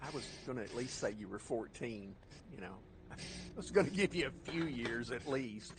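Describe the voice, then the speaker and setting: In a room with audible echo, a somewhat breathy man speaks at medium pitch and a moderate pace, with lively intonation, big swings in loudness and long, frequent pauses. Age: 60s. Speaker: military veteran and stream co-host. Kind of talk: casual chat.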